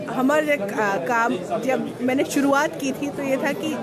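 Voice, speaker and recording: A woman with a Bihar accent speaks in a high pitch with lively intonation, amid audible room echo and crowd noise in the background. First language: Maithili (speaking Hindi). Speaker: awards organiser. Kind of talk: interview.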